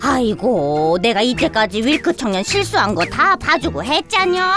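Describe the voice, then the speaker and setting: A woman performs a cartoonish character voice with clear music in the background. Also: fairly high pitch for a woman, moderate pace. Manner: folksy, dismissive.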